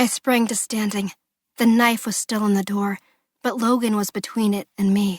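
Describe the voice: A quiet background under plain reading aloud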